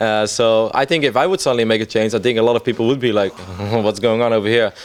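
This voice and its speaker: A man speaks very fast with a Dutch accent. His medium pitch has ordinary variation, and his loudness stays very even. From Netherlands. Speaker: esports commentator. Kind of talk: interview. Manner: casual.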